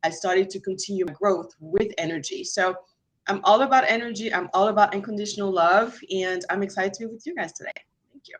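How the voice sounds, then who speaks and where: At a very fast pace, a woman talks at a medium pitch with ordinary pitch variation and big swings in loudness. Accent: French. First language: French. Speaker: mortgage lender and energy healer. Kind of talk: online class guest introduction.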